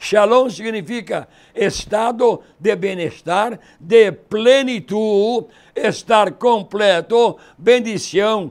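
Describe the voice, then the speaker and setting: At a very slow pace, a man speaks in a high pitch with ordinary pitch variation, in a very clean recording with a silent background. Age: 80s+. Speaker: pastor. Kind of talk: sermon.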